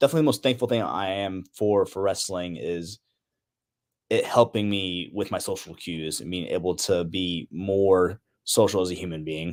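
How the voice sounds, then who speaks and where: This man has an ordinary speaking voice, fairly low in pitch, with ordinary pitch variation. He keeps a moderate pace on a very clean recording with a silent background. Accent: American. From Indiana, US. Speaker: pro wrestler. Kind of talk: casual interview.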